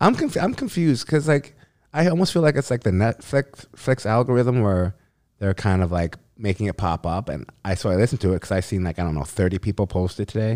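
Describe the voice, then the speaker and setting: A man's fairly low voice at a very fast pace, with very wide pitch swings, in a very clean recording over a silent background. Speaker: podcast co-host. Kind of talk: casual chat.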